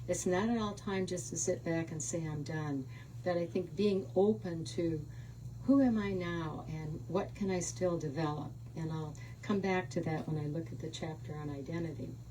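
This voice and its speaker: Amid noticeable background noise and audible room echo, a woman with an American accent speaks at a moderate pace in a very deep, low voice with lively intonation. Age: 80s+. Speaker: author. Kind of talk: book talk.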